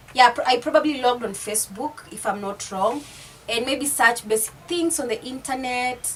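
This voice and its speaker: A woman speaks with an East African accent in a high voice. Noticeable background noise sits behind her. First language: Swahili. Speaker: YouTuber. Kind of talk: casual vlog chat.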